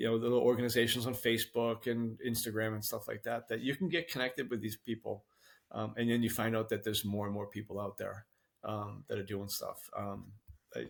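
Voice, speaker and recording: A man at medium pitch talks at a fairly quick pace with fairly even intonation. The recording is very clean, with a silent background. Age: 60s. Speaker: masters fitness athlete. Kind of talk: podcast interview. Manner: halting, many fillers.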